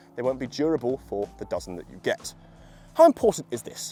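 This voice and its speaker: With music in the background, an enthusiastic voice moves at a fairly quick pace through very wide pitch swings, recorded dry and close with no echo. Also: man. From UK. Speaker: golf equipment reviewer. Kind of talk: product review video. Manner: casual, enthusiastic.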